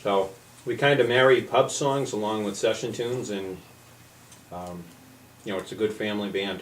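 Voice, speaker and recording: A man with a Boston accent at a moderate pace, long, frequent pauses, big swings in loudness, and audible room echo. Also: fairly low pitch for a man, ordinary pitch variation. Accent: Boston area. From Massachusetts, Billerica. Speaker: folk musician. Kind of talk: radio interview. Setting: radio studio.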